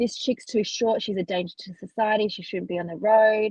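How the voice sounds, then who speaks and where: A woman with an Australian accent talks at a fairly quick pace. Her voice is somewhat breathy, with ordinary pitch variation. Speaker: truck driver. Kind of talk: interview answer.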